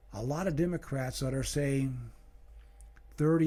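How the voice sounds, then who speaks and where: This man has a medium pitch and a dark, mellow tone. He talks at a moderate pace and sounds somewhat breathy. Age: 60s. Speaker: political commentary vlogger. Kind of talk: political monologue. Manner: halting, many fillers and repetitions. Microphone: new microphone on an arm.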